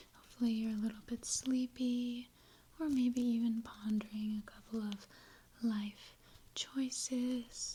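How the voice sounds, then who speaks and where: A soft-spoken, high-pitched woman with monotone, flat intonation. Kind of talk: ASMR personal-questions roleplay for sleep. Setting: home desk with creaking and light background noise. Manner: soft-spoken, relaxing.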